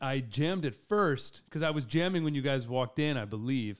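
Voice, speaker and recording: The delivery is animated, with lively intonation at a moderate pace. The recording is very clean, its background silent. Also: man. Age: 30s. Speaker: podcast host and drummer. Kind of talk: casual interview chat.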